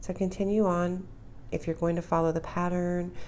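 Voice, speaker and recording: A woman speaks with a dark, mellow tone. Audible room echo surrounds her voice. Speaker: crochet instructor. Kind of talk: tutorial.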